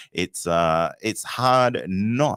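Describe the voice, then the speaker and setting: A man with an Australian accent and lively intonation, in a dry, close sound with no echo and a very clean, silent background. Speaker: podcast host. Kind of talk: live show chat. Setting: live stream. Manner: animated.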